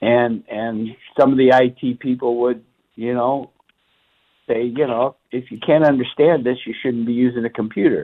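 The man speaks at a medium pitch with monotone, flat intonation. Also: moderate pace. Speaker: caller, former machinist turned CAD worker. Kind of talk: call-in to radio show. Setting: phone call.

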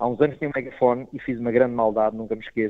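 The man's voice sits at a medium pitch. It stays flat and monotone. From Portugal (Proença Nova, Algarve). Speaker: stand-up comedian. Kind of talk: casual interview.

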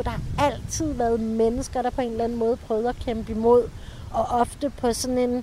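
A woman speaks in a high pitch. Noticeable background noise runs behind her. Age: 50s. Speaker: tour guide and author. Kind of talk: interview.

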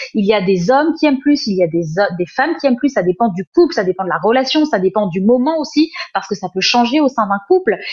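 Her pitch fairly high and swinging very widely, a woman speaks at a very fast pace. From France, Paris suburbs (Sarcelles). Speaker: essayist and journalist. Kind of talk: interview.

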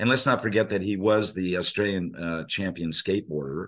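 A man speaks with an American accent in an unremarkable speaking voice. His pitch is fairly low, varies in an ordinary way, and his pace is fairly quick. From US Navy family, raised partly abroad and in California. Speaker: surf journalist and author. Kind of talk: casual interview conversation.

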